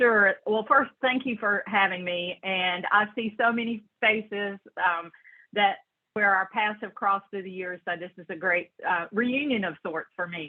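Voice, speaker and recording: A woman with a strong Southern US accent speaks at a fairly slow pace. Her pitch varies in an ordinary way while her loudness swings widely. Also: medium pitch for a woman. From western North Carolina mountains, Brevard. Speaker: social worker in health insurance. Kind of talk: interview. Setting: video call.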